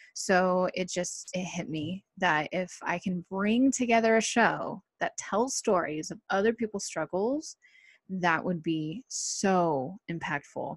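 A woman of medium pitch with an American accent, very slow, with ordinary pitch variation, in a dry, close sound with no echo over a quiet background. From Southern California. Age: 30s. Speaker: podcast host. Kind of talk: solo podcast monologue. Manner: casual, hesitant with fillers.

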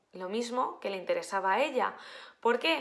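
A woman with a high voice takes a fairly slow pace, her intonation lively. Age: 20s. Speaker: life coach. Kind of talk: casual monologue. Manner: halting, many fillers.

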